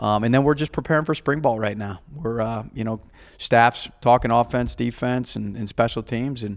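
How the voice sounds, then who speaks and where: This man has an ordinary speaking voice at medium pitch and talks at a fairly quick pace, recorded very cleanly against a silent background. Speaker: college football head coach. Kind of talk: interview.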